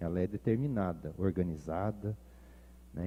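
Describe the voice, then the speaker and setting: The speaker has a strong Paraná accent. Pitch varies in an ordinary way at a moderate pace. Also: man. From Ponta Grossa, Paraná, Brazil. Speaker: pastor. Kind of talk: sermon.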